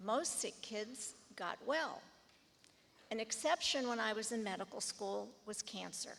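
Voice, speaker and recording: Speaking in a plain, everyday voice, a woman with an American accent talks at a fairly slow pace, fairly high in pitch with ordinary pitch variation. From US Midwest, Shaker Heights, Ohio. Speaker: pediatric oncologist, alumni honoree. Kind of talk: acceptance speech. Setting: school assembly with audience.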